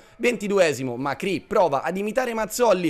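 Amid noticeable background noise, a man speaks at a moderate pace with lively intonation. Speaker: match commentator. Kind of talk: sports commentary. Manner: vivid, flowery and partisan toward the home side.

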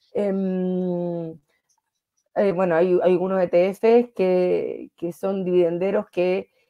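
Over a quiet background, a woman speaks with a Chilean accent. She goes at a very slow pace with monotone, flat intonation. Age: 30s. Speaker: financial wellness coach. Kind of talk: interview. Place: home room. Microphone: video call.

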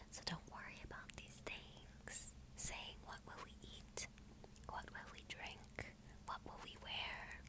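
A woman whispers at a very slow pace in a gentle, soothing tone. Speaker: ASMR creator. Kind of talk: scripture reading for relaxation and sleep. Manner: soft-spoken, gentle, soothing. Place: home room. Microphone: earbuds.

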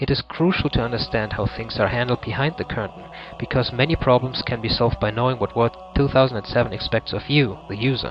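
A man with a German accent at a very fast pace, ordinary pitch variation, and music in the background. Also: medium pitch for a man. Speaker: ebook author. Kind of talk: tutorial. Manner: formal.

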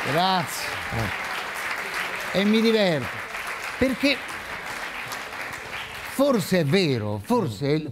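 The man's speech goes very slowly while loud background noise fills the clip. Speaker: actor. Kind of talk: talk show guest remarks. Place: stage.

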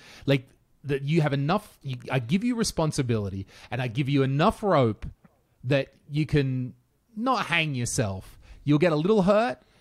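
A man at a moderate pace with lively intonation, over a quiet background. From rural Australia. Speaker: podcast host. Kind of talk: casual chat. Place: home room. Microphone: studio mic.

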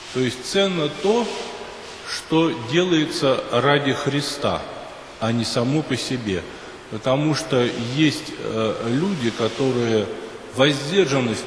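A man speaks at a very slow pace. Noticeable background noise can be heard. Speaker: priest. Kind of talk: sermon. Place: church.

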